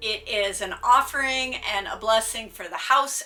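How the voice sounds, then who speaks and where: Over music in the background, a woman with an American accent talks at a moderate pace, her pitch fairly high with ordinary variation. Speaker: witchcraft content creator. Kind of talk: tutorial.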